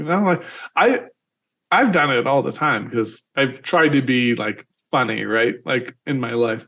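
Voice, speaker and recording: Someone with a normal speaking voice and lively intonation talks at a fairly slow pace. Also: man, medium pitch for a man. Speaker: podcast host. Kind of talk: casual interview conversation.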